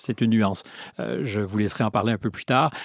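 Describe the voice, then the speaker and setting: A man talking at a very fast pace, in a very clean recording with a silent background and a dry, close sound with no echo. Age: 60s. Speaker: interviewer. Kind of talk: interview.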